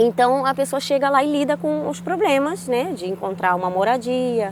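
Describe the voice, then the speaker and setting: Her pitch is high and swings very widely as this woman speaks at a moderate pace. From Brazil, Rio de Janeiro. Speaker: vlogger. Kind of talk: casual vlog talk. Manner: conversational, with many fillers.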